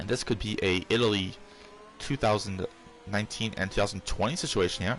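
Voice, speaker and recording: A soft-spoken voice at a fairly quick pace, with ordinary pitch variation. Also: man, fairly low pitch for a man. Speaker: sim racing league commentator. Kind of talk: live commentary. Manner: hesitant, many fillers.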